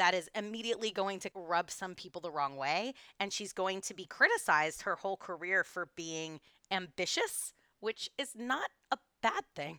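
With an American accent, a woman speaks at a moderate pace and medium pitch, her tone bright and sharp, her pitch variation ordinary, and the sound dry and close with no echo. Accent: doesn't sound Texan to others. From Texas. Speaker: podcast co-host, tour guide. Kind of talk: casual history chat.

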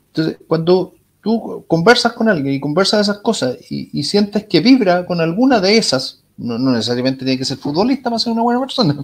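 A Chilean accent at a fairly quick pace, with very wide pitch swings. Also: man, high pitch for a man. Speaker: tech company executive. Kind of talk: interview. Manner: halting, many repetitions.

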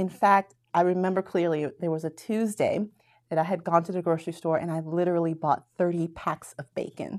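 An ordinary speaking voice from a woman with an American accent, fairly low in pitch, at a moderate pace, on a very clean recording with a silent background. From Florida, US. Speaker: math professor. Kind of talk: casual interview.

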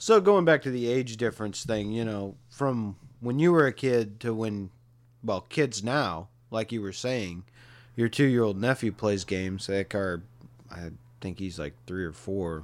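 Over a silent background in a very clean recording, a man with an unremarkable speaking voice talks slowly at a fairly low pitch, his intonation lively. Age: 40s. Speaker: podcast host. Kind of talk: casual chat.

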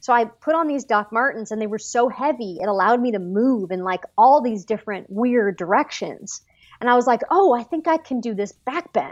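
A woman speaks at a fairly quick pace with lively intonation and a fairly high pitch. It is a normal speaking voice. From Los Angeles, US. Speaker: actress. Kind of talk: casual interview.

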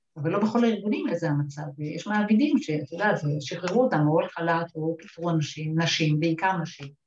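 With a normal speaking voice, a woman talks at a fairly low pitch and a fairly quick pace, leaving hardly any pauses. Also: ordinary pitch variation. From Upper Galilee, Israel. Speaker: lawyer, central bank executive. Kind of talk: panel discussion.

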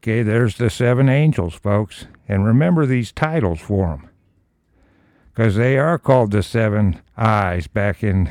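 A normal speaking voice, the man's fairly low pitch carries lively intonation at a fairly slow pace, with a dry, close sound and no echo. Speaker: Bible teacher reading scripture with commentary. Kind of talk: Bible study: scripture reading with commentary. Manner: conversational, informal teaching tone with fillers.

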